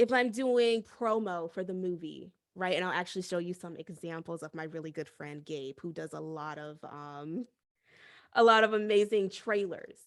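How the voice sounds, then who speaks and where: Sounding animated, a woman speaks at a moderate pace with lively intonation in a very clean recording with a silent background. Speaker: voice actor. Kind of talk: seminar talk. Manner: soft-spoken.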